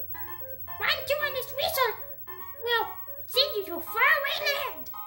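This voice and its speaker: Faint music plays behind a put-on character voice at an extremely high pitch and a fairly slow pace. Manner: excited and cartoonish.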